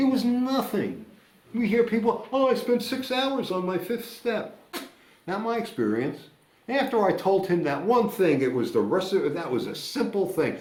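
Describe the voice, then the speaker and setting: A loud, high male voice with lively intonation at a moderate pace, plus audible room echo. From United States. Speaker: recovering alcoholic sharing at a meeting. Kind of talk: recovery meeting share. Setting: meeting room with audience.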